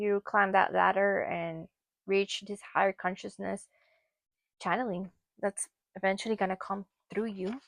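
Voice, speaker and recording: A woman talks at a moderate pace in a medium pitch with monotone, flat intonation. She leaves long, frequent pauses, and the sound is dry and close with no echo. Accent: Spanish. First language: Spanish. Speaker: tarot reader. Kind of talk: tarot card reading. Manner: casual, conversational.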